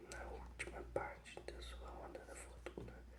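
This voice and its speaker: Soft-spoken whispering at a fairly slow pace over noticeable background noise. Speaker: ASMR reader. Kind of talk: whispered ASMR book reading. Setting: relaxing sleep-aid video. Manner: whispered, soft.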